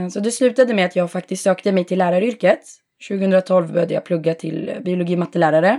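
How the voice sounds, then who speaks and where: A woman speaks very fast at a medium pitch, her tone dark and mellow, with ordinary pitch variation. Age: 30s. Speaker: optician. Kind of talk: interview.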